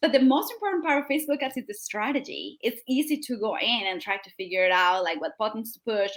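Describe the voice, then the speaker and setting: A woman with a South American accent, lively intonation and a fairly quick pace. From Colombia. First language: Spanish. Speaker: digital marketing strategist. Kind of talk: interview.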